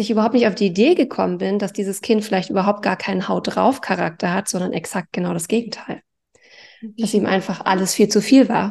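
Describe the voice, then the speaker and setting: Over a quiet background, a woman with a dark, mellow tone talks at a moderate pace and medium pitch, with ordinary pitch variation. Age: 40s. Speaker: life coach. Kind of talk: interview.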